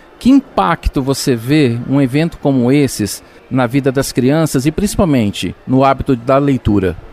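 A man with a normal speaking voice and a medium pitch talks at a moderate pace, the sound dry and close with no echo. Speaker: radio show host. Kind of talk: radio magazine show with interviews.

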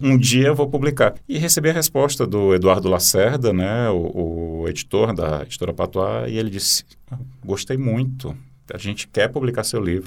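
A man talks with an ordinary speaking voice, pitched medium. His pace is moderate and his intonation lively. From Brazil, Teresina (Piauí). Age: 40s. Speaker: poet and journalist. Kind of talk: interview.

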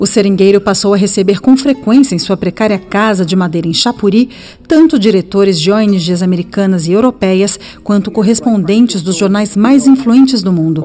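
Here is a woman with a plain, everyday voice at a medium pitch. She speaks at a moderate pace with ordinary pitch variation. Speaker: radio reporter. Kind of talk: scripted narration.

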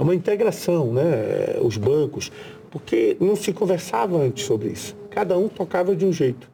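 Very wide pitch swings in a high male voice. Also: moderate pace. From Brazil, Pará (riverside area near Belém). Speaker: senator. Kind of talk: interview.

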